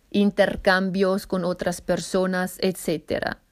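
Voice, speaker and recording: Monotone, flat intonation marks this very slowly paced speech. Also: woman. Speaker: podcast host and language learner. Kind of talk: solo podcast monologue. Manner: halting, searching for words.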